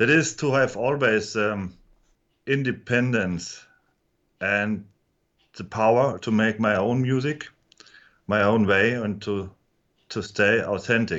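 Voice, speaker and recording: The speech comes at a very slow pace with long, frequent pauses. It has a German accent and ordinary pitch variation. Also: man, fairly low pitch for a man. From Germany. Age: 50s. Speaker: musician. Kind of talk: interview. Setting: studio. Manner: halting.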